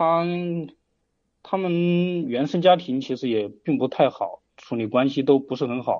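The man speaks very slowly. His pitch varies in an ordinary way. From rural Hubei, China. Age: 30s. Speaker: caller seeking relationship advice. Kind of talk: call-in advice conversation. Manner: halting, many fillers.

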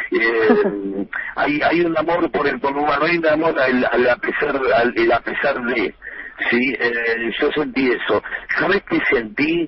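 Speaking at a very slow pace in a Rioplatense accent, a man uses lively intonation and very even loudness over noticeable background noise. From Buenos Aires conurbano, Argentina. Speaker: humorist and author. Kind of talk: radio interview. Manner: halting, repeats words.

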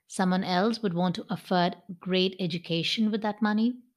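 A woman's unremarkable speaking voice at a fairly slow pace, ordinary pitch variation, very clean recording with a silent background. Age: 40s. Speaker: podcast host. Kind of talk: solo motivational talk.

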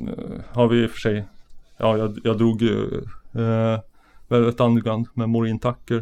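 A man speaks at a very slow pace. His intonation is flat and monotone. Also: medium pitch for a man. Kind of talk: casual chat.

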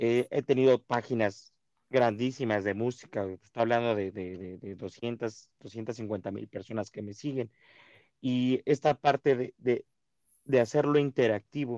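A man at medium pitch with a dark, mellow tone, fairly even intonation and a very slow pace, recorded dry and close with no echo against a quiet background. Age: 30s. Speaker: podcast host. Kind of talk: casual interview.

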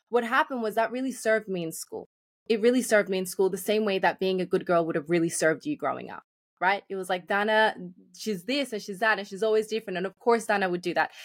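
A woman with an Australian accent talks at a very fast pace, her medium pitch showing ordinary variation. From Australia, Sydney (moved from Colombia young). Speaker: life and business coach. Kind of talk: podcast interview.

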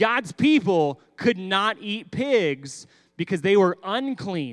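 Very wide pitch swings mark this voice with a Texan accent, heard on a very clean recording with a silent background. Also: man. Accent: Texan American. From Texas. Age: 30s. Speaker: pastor. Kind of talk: sermon for children. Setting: church.

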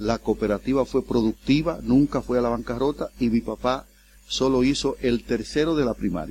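Here is a man with an unremarkable speaking voice. He keeps a moderate pace and ordinary pitch variation. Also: very clean recording, silent background. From Dominican Republic, El Seibo province. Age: 60s. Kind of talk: interview. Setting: studio.

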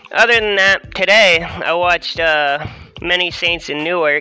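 A man's high voice, with ordinary pitch variation, moves at a fairly slow pace against noticeable background noise. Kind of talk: casual rant. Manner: casual, profane.

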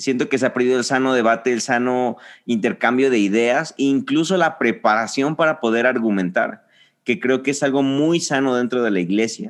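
Against a quiet background, a man with a plain, everyday voice speaks at a moderate pace with ordinary pitch variation. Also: medium pitch for a man, very even loudness. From Mexico, Reynosa, Tamaulipas. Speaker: church leader. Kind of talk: casual chat.

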